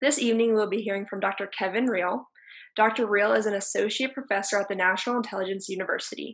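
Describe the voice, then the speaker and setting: A woman's medium-pitched voice, very fast, with ordinary pitch variation and a quiet background. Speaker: event host. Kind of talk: formal introduction and moderation. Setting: video call. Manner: formal. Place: home room. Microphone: video call.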